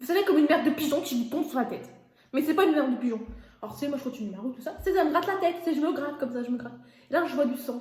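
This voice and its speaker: Over noticeable background noise, a woman talks at a very fast pace in a high voice with ordinary pitch variation. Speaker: YouTuber. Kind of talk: casual storytime while cooking. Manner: stammering repetitions.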